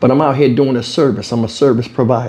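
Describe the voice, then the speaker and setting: A man talks at a fairly quick pace. His voice is somewhat breathy, with a dark, mellow tone. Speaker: commentary vlogger. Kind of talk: casual commentary on a news clip. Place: home room. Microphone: lapel.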